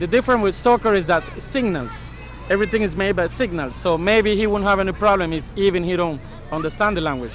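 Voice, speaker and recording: Speaking very fast with a Spanish accent, a man uses a high pitch and ordinary pitch variation amid noticeable background noise. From Panama. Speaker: soccer referee. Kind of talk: interview.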